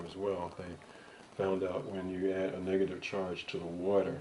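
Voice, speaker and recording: Speaking in an American accent at a moderate pace, a man with a very deep, low pitch keeps a monotone, flat intonation amid audible room echo. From New York City (Bronx). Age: 60s. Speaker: interviewee giving health testimonial. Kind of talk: interview testimony. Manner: casual, hesitant.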